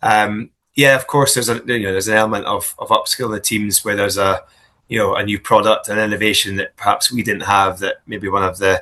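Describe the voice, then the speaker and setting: A man speaks at a very fast pace with a Scottish accent. The background is quiet. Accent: Scottish, still noticeable. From Scotland. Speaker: business executive. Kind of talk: interview. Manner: hesitant, many fillers and repeats.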